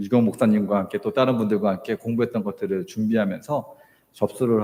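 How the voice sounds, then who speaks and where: This man has a medium pitch, a dark, mellow tone, lively intonation, and a moderate pace. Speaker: missionary. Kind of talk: sermon. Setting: church. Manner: hesitant, many fillers.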